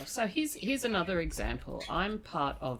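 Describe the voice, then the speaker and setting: A woman is speaking. She has an Australian accent. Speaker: academic podcast host. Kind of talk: casual academic discussion. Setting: studio table.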